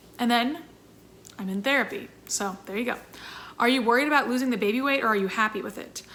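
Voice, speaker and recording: This woman's voice is fairly high-pitched, with a bright, sharp tone. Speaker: YouTuber and singer in a sister band. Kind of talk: Q&A vlog. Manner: fast; animated.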